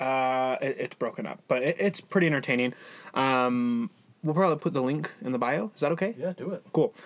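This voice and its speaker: A man's fairly high-pitched voice, an ordinary speaking voice with ordinary pitch variation, at a fairly quick pace. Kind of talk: mock park announcer, playful ring-style intro.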